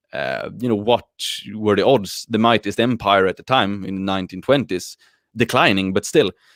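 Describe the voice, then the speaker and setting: Speaking with a Swedish accent at a moderate pace, a man uses a fairly low pitch and ordinary pitch variation in a dry, close sound with no echo. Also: very clean recording, silent background. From Sweden. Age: 30s. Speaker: YouTuber and athlete. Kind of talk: video podcast interview. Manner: hesitant, many fillers.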